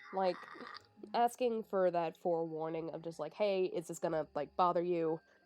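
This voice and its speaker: With ordinary pitch variation, a woman speaks in a fairly low voice. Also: moderate pace. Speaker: podcast host. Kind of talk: casual chat. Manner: halting.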